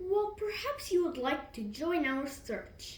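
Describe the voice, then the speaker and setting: A woman's put-on character voice at an extremely high pitch, with very wide pitch swings, a fairly slow pace and a slight echo. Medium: read story.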